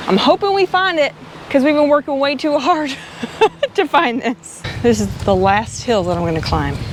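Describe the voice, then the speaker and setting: There is noticeable background noise as a woman with a high pitch speaks in very wide pitch swings. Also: moderate pace. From Arkansas. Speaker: travel vlogger. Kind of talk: casual chat. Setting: outdoors.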